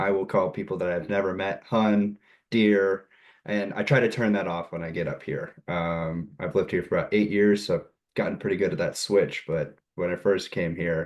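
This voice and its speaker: A man with an American accent and a plain, everyday voice, fairly low in pitch, fairly even in intonation, at a moderate pace. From US South. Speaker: student. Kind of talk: class discussion.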